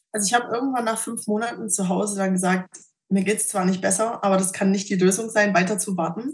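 A woman talks at a very fast pace in a medium pitch. Her voice is somewhat breathy, with fairly even intonation. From Thuringia, Germany. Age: 20s. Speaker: patient sharing her story. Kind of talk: personal testimony interview.

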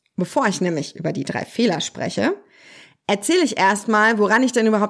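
A woman speaks at a moderate pace. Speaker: social worker and parenting coach. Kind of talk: solo podcast monologue.

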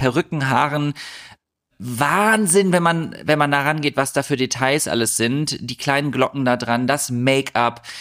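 A fairly high-pitched man, with ordinary rise and fall in his voice, is heard on a very clean recording against a silent background. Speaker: podcast co-host. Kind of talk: casual banter podcast chat. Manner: chatty; critical.

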